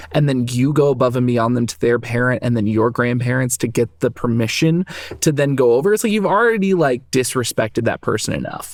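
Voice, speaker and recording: A man talks at a fairly quick pace with an American accent, barely pausing. His pitch is medium with ordinary variation. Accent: slight Southern, slips out on some words. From US South. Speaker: podcast co-host. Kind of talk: casual chat. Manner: animated.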